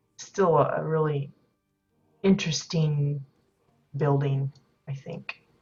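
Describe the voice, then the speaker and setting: Music plays in the background as a woman speaks at a very slow pace with long, frequent pauses. Her voice is very deep and low, with fairly even intonation. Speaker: game streamer giving house tours. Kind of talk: live gameplay commentary. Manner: hesitant, many fillers.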